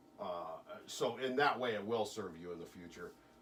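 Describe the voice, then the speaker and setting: The voice shows ordinary pitch variation, with audible room echo and noticeable background noise. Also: man. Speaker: hypnotist. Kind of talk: hypnosis session with a client. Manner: fast.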